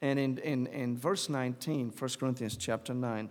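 Recorded very cleanly with a silent background, a man speaks in an Arabic accent at a moderate pace. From Syria, Damascus. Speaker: church planting minister. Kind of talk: testimony.

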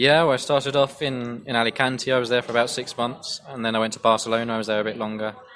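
Over noticeable background noise, a man talks at a very fast pace with hardly any pauses, medium pitch and monotone, flat intonation. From Essex, England. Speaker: football writer. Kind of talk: casual interview.

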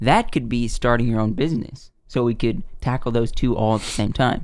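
A plain, everyday voice from a man with an American accent, medium in pitch, at a moderate pace, with ordinary pitch variation. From US South. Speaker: podcast co-host. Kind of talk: casual chat.

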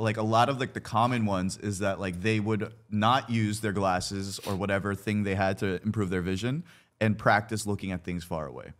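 At a moderate pace, a man with an unremarkable speaking voice and a fairly low pitch speaks on a very clean recording with a silent background. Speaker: podcast host. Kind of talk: casual chat.

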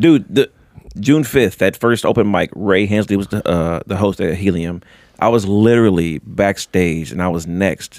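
A man with an ordinary speaking voice talks at a moderate pace, his fairly low pitch showing ordinary variation. The sound is dry and close with no echo. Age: 40s. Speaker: comedian. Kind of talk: casual chat. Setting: studio.

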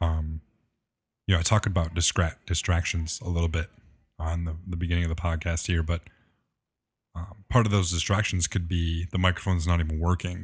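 A man with a very deep, low pitch and a somewhat breathy voice, monotone and flat, at a fairly quick pace with long, frequent pauses, on a very clean recording with a silent background. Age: 20s. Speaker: church tech and production minister. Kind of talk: interview conversation.

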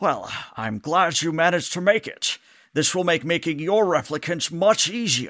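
A man in a high, put-on character voice talks at a moderate pace with ordinary pitch variation. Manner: smiling, gleeful.

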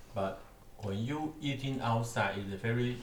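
Over noticeable background noise and audible room echo, a man speaks in a fairly low pitch with ordinary pitch variation. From Taiwan. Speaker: podcast host. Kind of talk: casual chat. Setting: dinner table at home.

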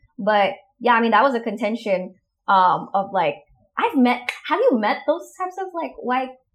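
A woman's high-pitched voice at a moderate pace. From Indonesia. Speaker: podcast host.

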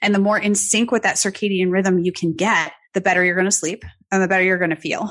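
Very fast and flat in a monotone, a woman's voice sits at a medium pitch. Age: 30s. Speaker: nutritionist and weightlifting coach. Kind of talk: interview.

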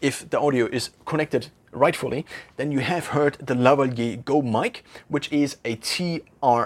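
A man speaks at a moderate pace with a fairly high pitch and ordinary pitch variation. The recording is very clean, with a silent background. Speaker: tech video creator. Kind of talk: tutorial. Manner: slightly louder, careful pronunciation.

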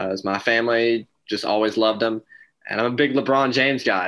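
A man with an American accent speaks in a bright, sharp tone and fairly even intonation. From North Carolina. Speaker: sports podcast co-host. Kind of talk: casual chat.

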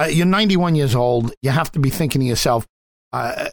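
A man talks at a fairly quick pace with ordinary pitch variation in a normal speaking voice. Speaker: radio host. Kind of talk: interview.

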